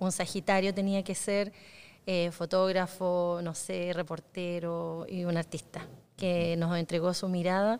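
Here is a woman with an ordinary speaking voice. Her pitch is fairly low, with fairly even intonation. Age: 40s. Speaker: podcast host. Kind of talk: casual interview. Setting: cultural centre in Concepción.

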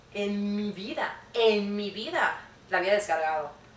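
A woman at a medium pitch with lively intonation, amid audible room echo and noticeable background noise. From Mexico, Mérida, Yucatán. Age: 20s. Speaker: podcast guest. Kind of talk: casual chat.

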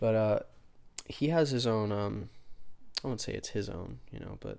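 A soft-spoken man with a fairly low pitch is heard on a very clean recording with a silent background. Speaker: podcast host. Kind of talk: solo monologue on spirituality. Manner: halting, many fillers.

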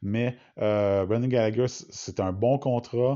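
A man with a Quebec accent talks with fairly even intonation. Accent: Québécois French. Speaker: hockey podcaster. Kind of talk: solo podcast monologue. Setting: at home in quarantine. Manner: halting.

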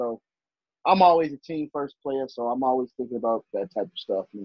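The speaker has an ordinary speaking voice with an American accent. The pace is fairly quick, with ordinary pitch variation. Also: man. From Chicago, Illinois. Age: 20s. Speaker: simulation football league player. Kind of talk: casual chat.

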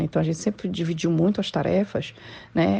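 Moderately paced female speech in quiet surroundings. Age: 40s. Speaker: civil engineer. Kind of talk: interview.

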